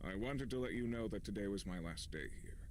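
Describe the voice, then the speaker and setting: A man's put-on character voice at a medium pitch and a very fast pace, over clear background noise. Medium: video game. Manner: curt, formal.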